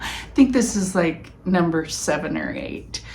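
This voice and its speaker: With audible room echo, a woman talks at a fairly slow pace in a fairly low voice. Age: 50s. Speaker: knitting podcaster. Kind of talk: casual chat. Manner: casual, halting with fillers.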